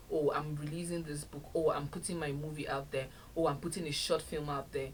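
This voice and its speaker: At a fairly quick pace, a woman with a very deep, low pitch speaks in a monotone, flat way, with noticeable background noise and audible room echo. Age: 30s. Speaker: podcast host. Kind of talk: solo podcast talk.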